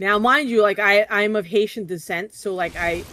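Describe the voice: A woman speaks with a New Jersey accent. Her pitch is medium and her pace moderate.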